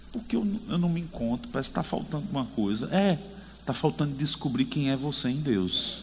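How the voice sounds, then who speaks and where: With a fairly high pitch, very wide pitch swings and a somewhat breathy quality, a man speaks at very even loudness amid audible room echo. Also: fairly quick pace. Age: 40s. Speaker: preacher. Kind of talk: sermon. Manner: animated.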